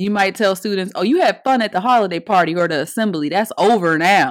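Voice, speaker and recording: On a very clean recording with a silent background, a woman speaks in an animated tone at medium pitch with ordinary pitch variation. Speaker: podcast host and educator. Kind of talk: motivational talk to teachers.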